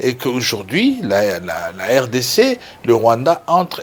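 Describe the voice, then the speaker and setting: A man's fairly high-pitched voice. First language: Lingala or other Congolese language (speaking French). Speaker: lawyer and political activist. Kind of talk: TV interview. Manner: halting with many fillers and repetitions.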